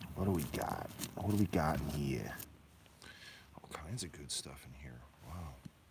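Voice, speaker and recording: At a moderate pace, a soft-spoken voice with an animated, excited tone and ordinary pitch variation swings widely in loudness, leaving long, frequent pauses amid audible room echo. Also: man, very deep, low pitch for a man. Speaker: mine owner and rockhound vlogger. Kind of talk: casual outdoor vlog narration. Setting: outdoors at a mine. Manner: soft-spoken, quiet; animated, excited exclamations. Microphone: hard to hear, too quiet.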